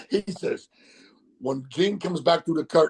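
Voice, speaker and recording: Speaking fairly quickly with an American accent, a man with a high pitch shows ordinary pitch variation, the sound dry and close with no echo. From US South, Mississippi. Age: 60s. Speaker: wrestling manager. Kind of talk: interview storytelling. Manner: halting, many fillers.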